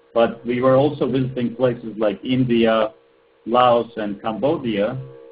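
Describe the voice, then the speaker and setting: Speaking with a Turkish accent, the man has a medium-pitched voice. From Turkey. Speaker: ed tech entrepreneur. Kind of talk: webinar presentation. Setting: webinar call.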